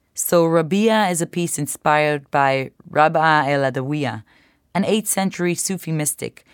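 A woman's very deep, low pitch with ordinary pitch variation at a moderate pace, in a dry, close sound with no echo on a very clean recording with a silent background. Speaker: choreographer and belly dancer. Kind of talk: interview.

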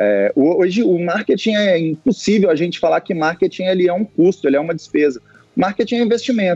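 A man's high-pitched voice with a dark, mellow tone, ordinary pitch variation and a moderate pace, dry and close with no echo. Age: 30s. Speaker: football club executive. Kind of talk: interview.

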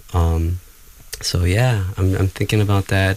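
Very deep and low, this man's voice comes across somewhat breathy. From Ecuador. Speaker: language justice activist. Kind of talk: radio panel discussion. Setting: studio.

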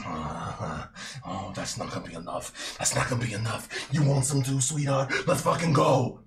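A man puts on a character voice at a medium pitch. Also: moderate pace. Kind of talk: tabletop game master voicing a villain. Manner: taunting, menacing, cocky.

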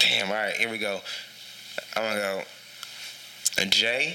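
A man speaks with long, frequent pauses. Audible room echo and noticeable background noise are present. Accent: American. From Texas, San Antonio. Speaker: rapper and Air Force serviceman. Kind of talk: casual chat.

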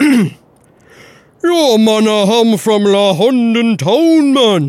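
This put-on character voice uses a Cockney accent and a fairly high pitch. It moves at a very slow pace.

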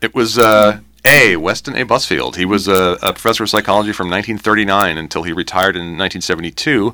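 A man with an unremarkable speaking voice, fairly low pitch and ordinary pitch variation, in a very clean recording with a silent background. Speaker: university communications director and trivia writer. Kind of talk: casual interview chat. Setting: radio studio.

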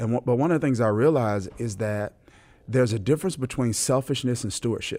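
Very fast and in an American accent, a man speaks at a medium pitch with ordinary pitch variation and a dark, mellow tone. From US South, Mississippi. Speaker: pastor. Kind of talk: interview. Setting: conference venue.

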